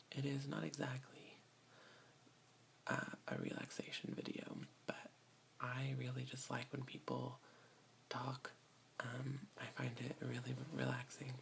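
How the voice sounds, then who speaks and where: Whispering in an American accent at a fairly slow pace, with long, frequent pauses and noticeable background noise. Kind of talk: casual talk to camera, reading tag questions. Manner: soft-spoken.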